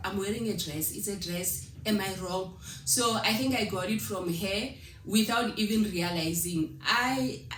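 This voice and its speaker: A woman at medium pitch speaks at a fairly slow pace. Audible room echo and noticeable background noise accompany her. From South Africa, Limpopo. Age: 30s. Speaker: vlogger. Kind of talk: Q&A vlog, casual talk to camera.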